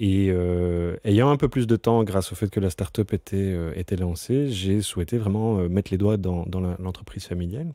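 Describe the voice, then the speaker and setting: A very deep, low-pitched man's voice, dark and mellow in tone, on a very clean recording with a silent background. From Brussels, Belgium. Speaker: company CEO. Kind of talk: interview. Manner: halting, many fillers and repetitions.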